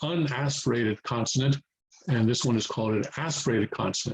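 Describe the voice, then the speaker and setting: A man's voice, a bit breathy, its pitch varying in the usual way. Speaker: Korean language teacher. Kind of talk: tutorial. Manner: halting, many fillers.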